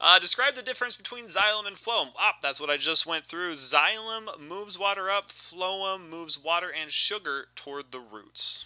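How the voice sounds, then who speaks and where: A man with a high pitch speaks at a moderate pace in a raised, projected voice, barely pausing at all. His tone is bright and sharp, his intonation lively, and his loudness swings widely. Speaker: biology teacher. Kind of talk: recorded review walkthrough for students. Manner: casual, halting with fillers.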